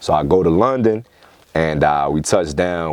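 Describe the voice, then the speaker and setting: A man with a New York accent and lively intonation, amid noticeable background noise. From New York, Queens (East Elmhurst). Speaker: rapper. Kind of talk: casual interview chat. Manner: animated.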